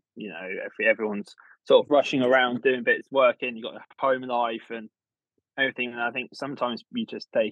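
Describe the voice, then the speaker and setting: A man speaks at a fairly quick pace with a British accent. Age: 20s. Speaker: garden designer. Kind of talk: casual chat.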